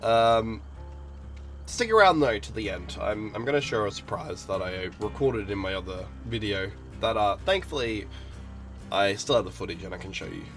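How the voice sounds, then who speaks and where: Over music in the background, the speaker moves at a moderate pace with very wide swings in pitch. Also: man. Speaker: gaming commentator. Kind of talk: casual talk to camera.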